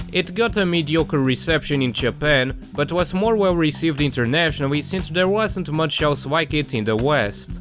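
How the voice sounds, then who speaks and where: A fairly high-pitched man at a moderate pace with hardly any pauses, music in the background. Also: lively intonation. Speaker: video game commentator. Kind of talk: video essay narration.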